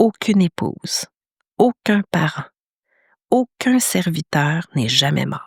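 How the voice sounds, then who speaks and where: Speaking at a very slow pace with long, frequent pauses, a woman uses a fairly low pitch with vocal fry and very wide pitch swings, in a dry, close sound with no echo. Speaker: podcast host, meditation teacher. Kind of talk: podcast storytelling. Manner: hesitant, many fillers.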